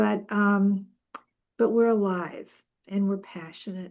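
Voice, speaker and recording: Against a quiet background, a woman speaks at a fairly slow pace in a dark, mellow tone with ordinary pitch variation. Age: 70s. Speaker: author. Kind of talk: interview. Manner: animated.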